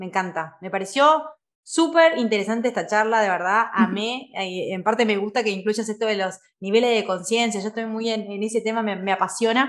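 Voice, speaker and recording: This woman has a plain, everyday voice with fairly high pitch and ordinary pitch variation. She talks at a fairly quick pace. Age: 30s. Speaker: podcast host and life coach. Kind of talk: conversational interview.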